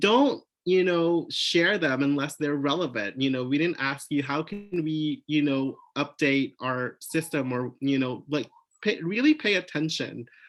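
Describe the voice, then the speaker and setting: Using ordinary pitch variation, a man with a fairly high pitch talks at a fairly slow pace. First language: not English. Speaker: museum professional panelist. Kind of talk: panel discussion.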